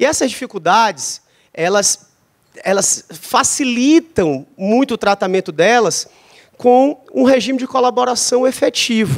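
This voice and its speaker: With a São Luís accent, the speaker talks at a fairly slow pace with lively intonation, in a dry, close sound with no echo. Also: man, extremely high pitch for a man. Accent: São Luís (ludovicense) Brazilian Portuguese. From Brazil, São Luís, Maranhão. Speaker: vice-governor and education official. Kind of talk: panel discussion. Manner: halting, with self-corrections.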